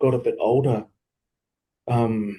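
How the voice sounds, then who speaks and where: In a New Zealand accent, a man talks at medium pitch with a dark, mellow tone. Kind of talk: interview answer. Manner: hesitant, reflective.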